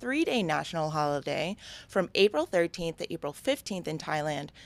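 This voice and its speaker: A woman with an American accent at a fairly quick pace, lively intonation, a dry, close sound with no echo, and a very clean recording over a silent background. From New York. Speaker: comedian and actor. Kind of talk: news reading.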